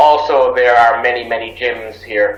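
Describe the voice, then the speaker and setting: With an Irish accent, a man speaks at a medium pitch in a monotone, flat intonation, with audible room echo and noticeable background noise. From Ireland. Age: 30s. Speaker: English teacher abroad. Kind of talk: interview.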